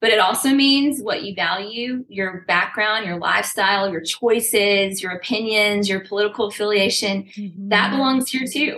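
A woman has an unremarkable speaking voice, medium in pitch with ordinary pitch variation. She speaks at a moderate pace. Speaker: fitness company founder. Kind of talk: casual chat.

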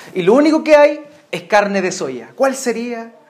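The pace is fairly slow. Audible room echo and noticeable background noise are present. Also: man. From Chile. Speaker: pastor. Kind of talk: sermon.

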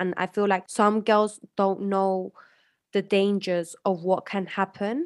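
A woman with a British accent, medium-pitched and monotone, with flat intonation. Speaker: podcast host. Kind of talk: casual interview.

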